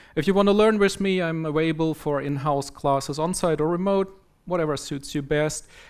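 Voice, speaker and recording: The speaker has a German accent and ordinary pitch variation. The recording is very clean, with a silent background. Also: man. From Germany. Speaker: software trainer and conference speaker. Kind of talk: conference talk.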